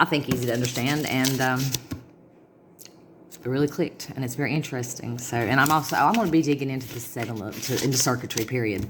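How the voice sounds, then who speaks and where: A woman's very deep, low voice with ordinary pitch variation, against noticeable background noise. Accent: Southern US. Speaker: vlogger. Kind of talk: casual monologue to camera. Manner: fast.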